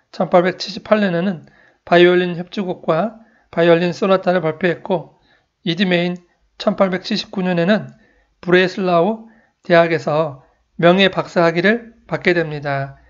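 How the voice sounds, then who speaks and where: Against a quiet background, a man speaks at a high pitch and a very slow pace. His intonation is fairly even, with long, frequent pauses. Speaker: musician and classical music channel host. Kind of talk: scripted narration. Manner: formal.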